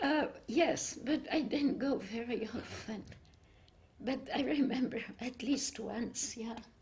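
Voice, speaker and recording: Speaking at a very slow pace with a high pitch and ordinary pitch variation, a woman is heard with audible room echo. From Cambodia and Vietnam, French family. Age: 80s+. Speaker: spiritual devotee, choir member. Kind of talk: interview, personal life story.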